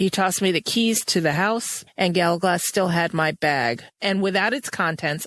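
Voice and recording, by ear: The voice is reading aloud in a natural voice. Pitch variation is ordinary.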